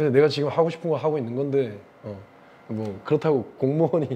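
A man talks with lively intonation. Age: 50s. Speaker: English teacher. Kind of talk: casual storytelling lecture. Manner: animated. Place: classroom. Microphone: lapel.

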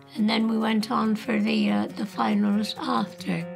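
Music plays clearly behind the voice. The woman talks fairly slowly. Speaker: interviewee telling life story. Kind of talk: interview answer. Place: home room. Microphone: lapel.

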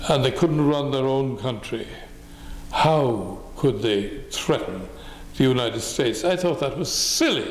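Room echo surrounds a man speaking at a fairly slow pace with ordinary pitch variation. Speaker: interviewee. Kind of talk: interview answer. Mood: reflective, mildly scornful. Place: home room.

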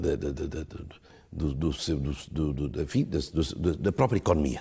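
A man talks in a very deep, low pitch with a dark, mellow tone and vocal fry. His pace is fairly slow against a quiet background. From Guinea-Bissau. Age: 60s. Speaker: government minister. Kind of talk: interview. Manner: halting; formal. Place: home room. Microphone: lapel.

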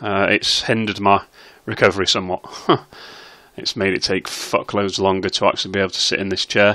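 A man with a British accent, fairly low in pitch, fairly quick, monotone and flat, with long, frequent pauses. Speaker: slot streamer. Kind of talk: casual commentary to camera. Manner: hesitant, with filler sounds.

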